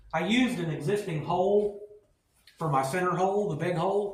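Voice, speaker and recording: A man talks at a moderate pace with ordinary pitch variation. There is audible echo from the room. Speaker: car builder and YouTuber. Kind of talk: workshop tutorial. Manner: halting, self-correcting. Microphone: cheap mics with technical problems.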